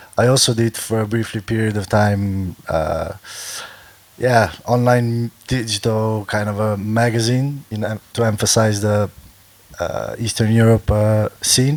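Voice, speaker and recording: The delivery has a fairly slow pace. Intonation is fairly even, with noticeable background noise. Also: man, medium pitch for a man. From Slovenia. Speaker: festival organizer and DJ. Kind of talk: panel discussion.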